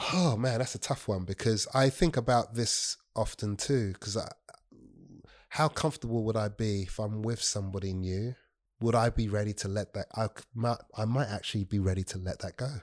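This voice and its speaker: In a very clean recording with a silent background and a dry, close sound with no echo, a man with a normal speaking voice talks at a moderate pace. His pitch is fairly low and shows ordinary pitch variation. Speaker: guest. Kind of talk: casual chat.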